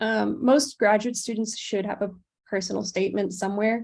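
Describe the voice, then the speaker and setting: A woman's fairly high, somewhat breathy voice at a fairly quick pace. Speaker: PhD student giving seminar. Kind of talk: webinar presentation.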